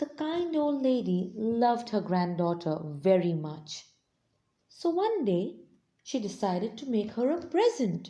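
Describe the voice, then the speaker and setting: A fairly high-pitched, somewhat breathy woman's voice at a fairly slow pace, with very wide pitch swings and a soothing, dark, mellow tone. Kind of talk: read story.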